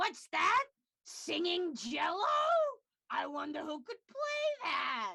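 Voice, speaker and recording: A put-on character voice at an extremely high pitch, delivered at a very slow pace. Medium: game stream. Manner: dramatic, storytelling.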